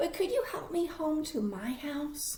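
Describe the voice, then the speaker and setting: Using a put-on character voice, a woman speaks at a fairly slow pace in a squeaky, high pitch over light background noise. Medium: read story. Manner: earnest.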